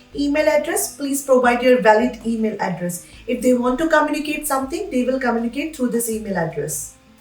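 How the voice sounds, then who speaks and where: With music in the background and audible room echo, a woman speaks with an Indian accent. Her pitch is high, her pace fairly quick and her intonation lively. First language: Hindi. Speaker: immigration advice youtuber. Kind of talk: tutorial.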